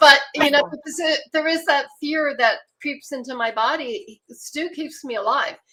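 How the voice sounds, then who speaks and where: Projecting a raised voice, a woman speaks at a high pitch in a bright, sharp tone. Her pace is fairly slow, with hardly any pauses. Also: ordinary pitch variation. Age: 70s. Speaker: chronic pain patient and advocate. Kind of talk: panel discussion.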